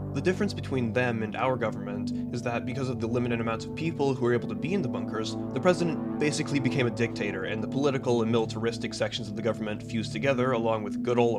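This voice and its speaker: Music in the background behind a man talking at a very fast pace, with ordinary pitch variation. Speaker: gaming video essayist. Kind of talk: video essay narration.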